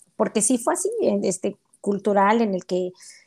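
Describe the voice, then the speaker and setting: With a medium pitch, the woman keeps to a moderate pace. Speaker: accountant and mother. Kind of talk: casual interview. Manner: animated.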